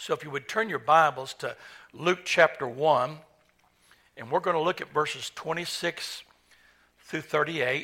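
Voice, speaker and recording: A man with an American accent speaks at a fairly slow pace, leaving long, frequent pauses. His tone is bright and sharp. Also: fairly high pitch for a man, ordinary pitch variation, big swings in loudness. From Oklahoma (Owasso area). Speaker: pastor. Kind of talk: sermon. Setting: church.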